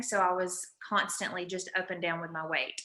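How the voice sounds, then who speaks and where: A woman with an Alabama accent, bright, sharp tone and moderate pace. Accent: Southern US (Alabama). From US South, Alabama. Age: 30s. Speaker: ketone product distributor. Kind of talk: sales pitch. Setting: group video call. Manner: animated.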